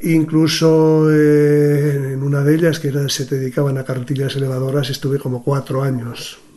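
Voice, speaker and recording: Over noticeable background noise, a man talks at a moderate pace in a fairly high pitch with monotone, flat intonation. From Spain, Sanabria (Zamora). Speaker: retired gravedigger. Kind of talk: interview. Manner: halting.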